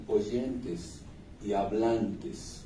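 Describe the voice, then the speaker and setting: A man speaks with lively intonation over noticeable background noise. Audible room echo surrounds his voice. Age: 60s. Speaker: singer-songwriter. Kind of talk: interview. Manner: reflective, with hesitations.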